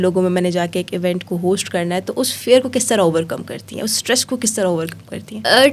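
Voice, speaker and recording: A woman is speaking. She has a normal speaking voice. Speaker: podcast host. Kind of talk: podcast interview questions.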